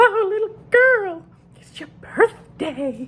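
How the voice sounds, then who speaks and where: In a put-on character voice, a man squeaks out his words at an extremely high pitch and a very slow pace. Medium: solo performance. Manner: like an old grandmother, heightened.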